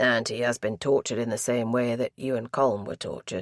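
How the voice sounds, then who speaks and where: A man does a raspy put-on character voice at medium pitch. His pace is fairly quick and his intonation fairly even. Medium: read story. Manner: measured, formal, gently probing.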